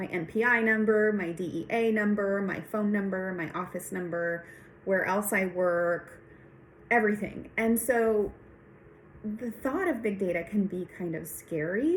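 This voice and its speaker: Speaking with a Spanish accent, a woman talks at a fairly slow pace. Her pitch is medium, with ordinary variation. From Texas. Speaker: nurse practitioner and PhD student. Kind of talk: recorded class reflection monologue.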